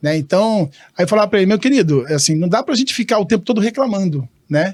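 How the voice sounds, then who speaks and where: A high-pitched man's voice, animated and very fast, with lively intonation and very even loudness. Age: 60s. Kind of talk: casual interview chat.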